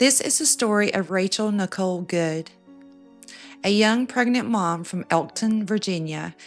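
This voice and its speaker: Over music in the background, a woman talks at a fairly slow pace in a medium pitch with ordinary pitch variation. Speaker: true crime narrator. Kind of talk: true crime storytelling narration. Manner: soft-spoken, intimate.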